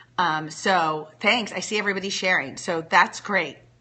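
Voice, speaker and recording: A woman with a normal speaking voice keeps a moderate pace, her pitch varying in an ordinary way. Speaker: blogger and livestreamer. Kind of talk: casual livestream chat.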